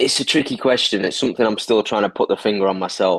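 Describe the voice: At a fast pace, a man with a fairly low pitch speaks in a fairly bright tone that has a slightly husky edge. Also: ordinary pitch variation.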